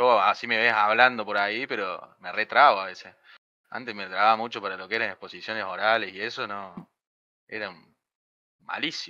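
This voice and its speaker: Speaking with a Córdoba Argentine accent at a fairly quick pace, a man with a fairly low pitch and a bright, sharp tone keeps his intonation fairly even while his loudness swings widely and long pauses come often. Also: quiet background. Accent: Cordoba Argentine accent, noticeable. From Argentina, Río Cuarto, Córdoba; Córdoba, Argentina. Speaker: software development student; programming streamer. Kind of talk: casual chat; casual livestream chat. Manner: halting. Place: home room. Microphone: studio mic.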